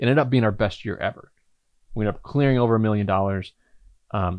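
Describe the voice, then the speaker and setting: The man talks at a very fast pace with an American accent and fairly low pitch. His intonation is fairly even against a quiet background. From US Midwest, southern Indiana. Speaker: entrepreneur and podcast host; podcast host. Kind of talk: personal storytelling monologue. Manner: casual, filler-heavy. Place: home room.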